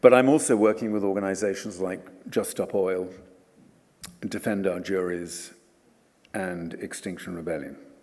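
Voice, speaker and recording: There is audible room echo as the speaker goes at a moderate pace with ordinary pitch variation and long, frequent pauses. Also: man, very deep, low pitch for a man, big swings in loudness. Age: 70s. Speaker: environmental campaigner and author. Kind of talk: lecture.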